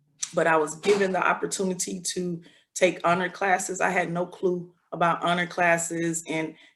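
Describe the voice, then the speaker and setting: This woman's voice sits fairly low, and she talks at a moderate pace in a flat monotone. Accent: Southern US. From US South, Selma, Alabama. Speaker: judge. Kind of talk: press conference Q&A.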